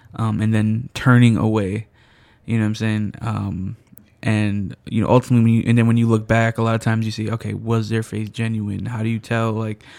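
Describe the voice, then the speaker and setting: A man talks with an American accent at a medium pitch. His intonation stays flat and monotone. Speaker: podcast co-host. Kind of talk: casual chat.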